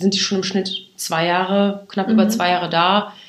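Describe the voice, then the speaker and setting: The woman's voice sits at a medium pitch. Her intonation is monotone and flat at a moderate pace. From western Germany, Aachen. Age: 20s. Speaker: recruitment marketing employee. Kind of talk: interview. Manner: hesitant with many fillers.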